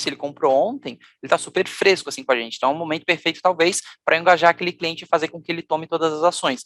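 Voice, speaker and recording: A man speaks at a very fast pace and a high pitch. The sound is dry and close with no echo. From Brazil, Florianópolis, Santa Catarina. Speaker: customer experience leader, conference speaker. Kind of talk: conference talk.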